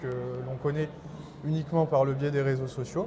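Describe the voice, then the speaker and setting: Noticeable noise runs behind a man's voice. His pitch is fairly high and his intonation fairly even. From France, Clermont-Ferrand. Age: 30s. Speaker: collector. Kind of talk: interview. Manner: hesitant, many fillers.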